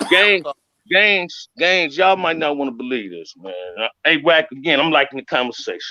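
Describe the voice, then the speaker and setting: At a moderate pace, a man with a fairly high pitch, vocal fry and a bright, sharp tone speaks with lively intonation and big swings in loudness. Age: 60s. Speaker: former gang member. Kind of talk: casual chat.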